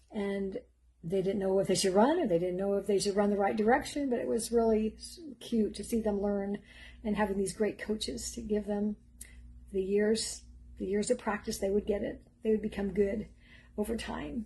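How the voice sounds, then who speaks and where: A dark, mellow, somewhat breathy tone at a moderate pace, with ordinary pitch variation. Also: woman, medium pitch for a woman. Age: 60s. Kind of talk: inspirational monologue. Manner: halting.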